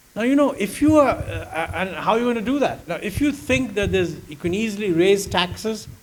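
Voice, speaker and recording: A man's fast-paced speech with very wide pitch swings, audible room echo, and noticeable background noise. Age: 80s+. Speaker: economist. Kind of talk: fireside chat on stage.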